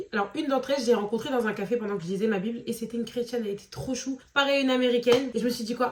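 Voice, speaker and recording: A woman talks very fast at a fairly high pitch, her pitch varying in an ordinary way. Noticeable background noise sits behind her. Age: 20s. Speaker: vlogger. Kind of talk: casual vlog talk.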